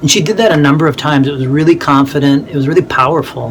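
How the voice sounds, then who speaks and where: A man's fairly high voice at a very fast pace, fairly even in intonation, over noticeable background noise. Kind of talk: tutorial. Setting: home office in attic, video recording. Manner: halting, many fillers and repeats.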